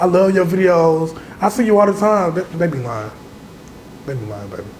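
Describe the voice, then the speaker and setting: With audible room echo and noticeable background noise, a man speaks at a fairly quick pace in a high pitch, his voice making very wide pitch swings and big swings in loudness. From Augusta, Georgia, US South. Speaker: social media comedian and content creator. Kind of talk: casual interview chat. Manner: animated, acts out quoted voices.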